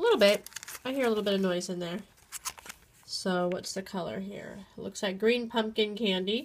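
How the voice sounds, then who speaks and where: Noticeable background noise runs under a woman with a medium pitch. Her intonation is fairly even, broken by long, frequent pauses. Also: moderate pace. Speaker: teacher. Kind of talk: casual unboxing talk to camera.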